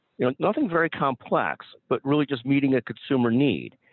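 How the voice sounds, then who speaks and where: A man with medium pitch, an ordinary speaking voice, and a moderate pace. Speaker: podcast host. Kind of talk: interview.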